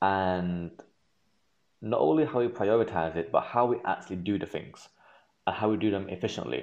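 Using lively intonation and long, frequent pauses, a man with a fairly low pitch talks at a moderate pace. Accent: Manchester. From northern England, Manchester. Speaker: medical student. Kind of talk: interview. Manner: halting.

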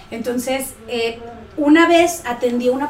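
Over noticeable background noise and audible room echo, a woman with a high pitch speaks with lively intonation. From Central America (Guatemala, El Salvador, Honduras). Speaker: pediatric dentist. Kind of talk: interview.

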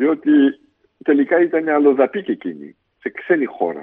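A man is speaking. He goes at a fairly slow pace. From Belgium, Brussels. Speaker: politician. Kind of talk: interview testimony.

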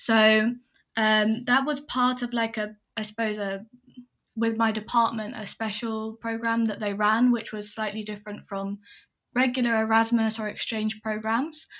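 In an English accent, a woman speaks at a moderate pace with a fairly high pitch and monotone, flat intonation, in a very clean recording with a silent background. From England. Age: 20s. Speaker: consultant. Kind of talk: casual interview.

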